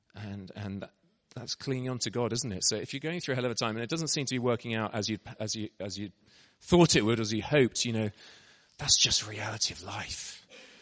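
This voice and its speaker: The speaker is a man with an English accent. Ordinary variation marks his pitch. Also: medium pitch for a man, fairly quick pace. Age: 40s. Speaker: missionary preacher. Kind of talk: sermon. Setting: church.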